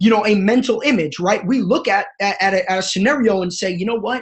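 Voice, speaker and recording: Animated in tone, a man with a high pitch talks at a very fast pace with ordinary pitch variation. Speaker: network marketing coach. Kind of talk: motivational webinar. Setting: live webinar from family home.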